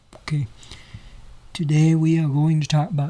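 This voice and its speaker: The man's voice has a dark, mellow tone and comes out somewhat breathy. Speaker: photography tutorial creator. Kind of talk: tutorial. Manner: slow.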